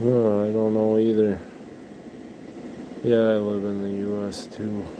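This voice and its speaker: Fairly slow, monotone, flat speech from a man at a fairly low pitch, with audible room echo and noticeable background noise. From US Midwest. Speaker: livestreamer, pet rabbit owner. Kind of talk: casual livestream chat.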